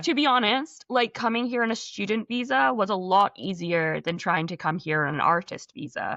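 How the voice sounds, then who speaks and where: In a Scottish accent, a woman at medium pitch talks at a moderate pace with hardly any pauses and very wide pitch swings. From Scotland. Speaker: actress. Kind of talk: interview answer.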